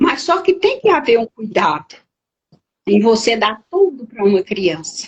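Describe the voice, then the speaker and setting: Speaking at a fairly slow pace, a woman's pitch swings very widely. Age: 70s. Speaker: therapist. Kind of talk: interview.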